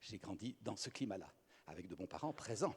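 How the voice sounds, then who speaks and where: His pace is fairly quick. The man's pitch swings very widely. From Belgium. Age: 60s. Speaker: speaker on communication and psychology. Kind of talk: conference talk.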